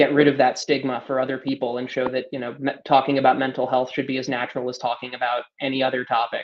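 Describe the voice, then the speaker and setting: Hardly pausing, a man with an American accent rushes along at a very fast pace in a monotone, flat delivery at medium pitch. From US, California (Palo Alto). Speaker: project manager, panelist. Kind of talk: panel discussion.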